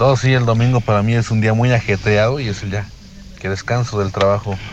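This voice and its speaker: Noticeable background noise sits behind a man's voice. He speaks at a medium pitch and a fairly quick pace. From Guanajuato, Mexico. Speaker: listener caller, tradesman. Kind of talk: recorded voice message to radio show.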